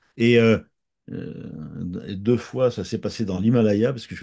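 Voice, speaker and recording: A man's voice has a dark, mellow tone with ordinary pitch variation. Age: 70s. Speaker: author and therapist. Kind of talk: interview. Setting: countryside. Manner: halting, many repetitions.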